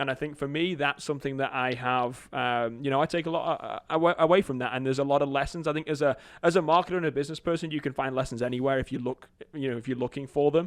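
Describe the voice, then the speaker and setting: Against a quiet background, a man with a fairly high pitch talks at a very fast pace with fairly even intonation. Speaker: marketing agency founder. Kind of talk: podcast interview.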